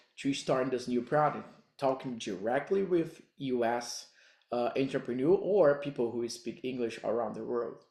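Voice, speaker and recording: A man with a Brazilian accent speaks fairly slowly at a medium pitch, with a dark, mellow tone and ordinary pitch variation, in a very clean recording with a silent background. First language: Portuguese. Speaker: digital marketing coach. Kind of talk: tutorial. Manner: halting non-native phrasing.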